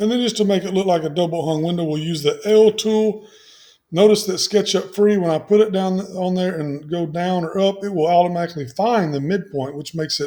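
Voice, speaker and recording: A man's voice sits high in pitch, with a dark, mellow tone. His pitch variation is ordinary. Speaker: software tutorial presenter. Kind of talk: tutorial.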